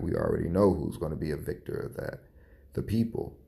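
A quiet man's voice with a dark, mellow tone. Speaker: podcast host. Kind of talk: personal commentary monologue.

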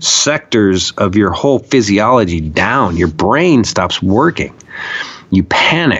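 Noticeable background noise sits behind a man with an American accent. He talks at a very slow pace with very wide pitch swings. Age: 40s. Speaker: documentary filmmaker and activist. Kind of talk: casual interview conversation. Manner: animated.

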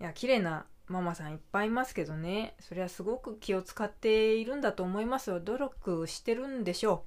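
An ordinary speaking voice moves at a fairly quick pace. Its intonation is lively. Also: woman, medium pitch for a woman, hardly any pauses, very clean recording, silent background. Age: 30s. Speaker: podcaster. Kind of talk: casual chat.

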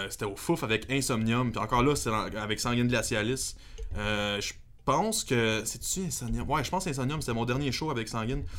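A moderate pace in a Quebec accent, with audible room echo. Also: man, medium pitch for a man, ordinary pitch variation. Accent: Québécois French. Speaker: metal guitarist. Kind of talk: casual chat.

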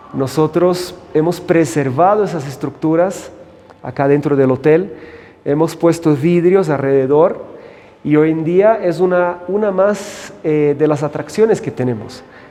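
A man with a Portuguese accent talks at a fairly slow pace and fairly high pitch, using ordinary pitch variation over noticeable background noise. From Brazil, São Paulo. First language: Portuguese (speaking Spanish). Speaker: hotel general manager. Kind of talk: interview. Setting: on location at a hotel.

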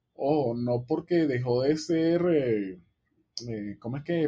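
Here a man speaks very slowly with a Venezuelan accent. His pitch is fairly high, with ordinary variation. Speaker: music podcast co-host. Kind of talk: casual chat.

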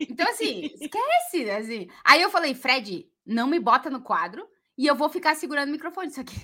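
A woman uses a raised, projected voice with a high pitch and a bright, sharp tone at a moderate pace. Her pitch swings very widely and her loudness swings a lot. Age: 40s. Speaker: football podcast co-host. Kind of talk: casual chat.

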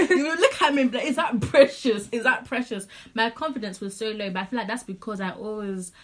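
In a Zimbabwean accent, a woman with a fairly high pitch and lively intonation speaks at a moderate pace, sounding somewhat breathy. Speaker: podcast co-host. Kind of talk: casual, slangy chat among friends.

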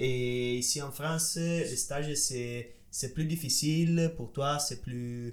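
With an Italian accent, the speaker sounds somewhat breathy and keeps the intonation fairly even. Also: man. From Italy. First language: Italian (speaking French). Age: 20s. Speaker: medical student. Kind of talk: casual chat. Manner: halting.

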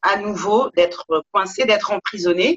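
A woman speaks fairly slowly in a normal speaking voice with ordinary pitch variation. The sound is dry and close, with no echo. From Paris. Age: 40s. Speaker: yoga teacher. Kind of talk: interview.

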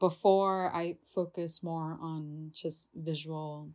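On a very clean recording with a silent background, a woman speaks with a fairly low pitch and ordinary pitch variation. Her tone is dark and mellow. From Indonesia (Jakarta). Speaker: podcast host, visual artist. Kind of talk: casual solo monologue. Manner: casual, filler-heavy, laughing.

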